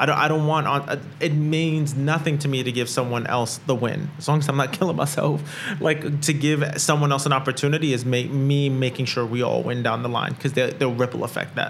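The delivery is fairly quick, with monotone, flat intonation and very even loudness. Noticeable background noise sits underneath. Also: man, fairly high pitch for a man. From Brooklyn, New York. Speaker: entrepreneur and co-working space founder. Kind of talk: casual interview conversation. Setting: recording at a co-working space.

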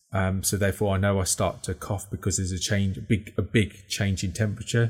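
On a very clean recording with a silent background, a man speaks at a fairly quick pace in a somewhat breathy, fairly low voice. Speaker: podcast co-host. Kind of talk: casual chat. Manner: fast talker.

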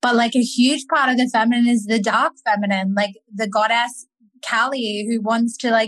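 A woman's unremarkable speaking voice, fairly even in intonation, at a moderate pace. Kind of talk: interview conversation.

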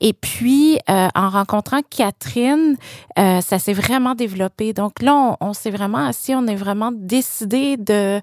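A woman in a Quebec accent, medium in pitch, with lively intonation at a very slow pace, in a dry, close sound with no echo, very clean recording with a silent background. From Quebec City suburbs, Quebec. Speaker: exhibition curator. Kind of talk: casual interview conversation.

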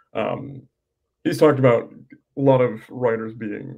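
This man has a medium-pitched, somewhat breathy voice with a dark, mellow tone. He talks with an American accent. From US West Coast. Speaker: podcast host. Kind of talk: interview conversation.

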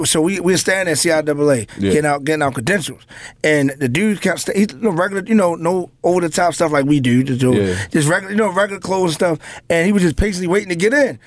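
A man talks at a moderate pace in a high-pitched voice. His intonation is lively and his loudness stays very even. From Baltimore. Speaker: radio DJ and show host. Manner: high-energy, joking.

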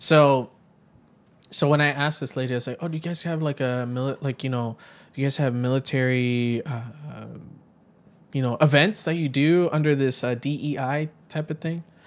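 Talking at a moderate pace with long, frequent pauses, a man keeps his fairly high pitch fairly even in intonation. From Puerto Rico, later New York City. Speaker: software engineer and podcaster. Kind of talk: casual interview chat.

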